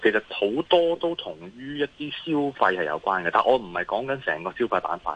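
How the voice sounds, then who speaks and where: With a Hong Kong accent, a man speaks at medium pitch and a moderate pace, his pitch swinging very widely. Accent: Hong Kong Cantonese. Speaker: investment analyst. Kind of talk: phone interview on markets. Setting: phone call. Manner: hesitant, many fillers.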